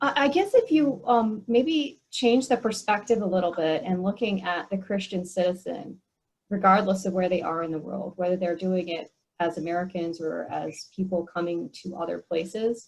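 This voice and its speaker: A woman's medium-pitched voice is somewhat breathy and varies in pitch in an ordinary way. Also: moderate pace. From US, Korean American family. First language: Korean. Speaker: speaker on church mission. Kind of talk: Q&A discussion at online meeting.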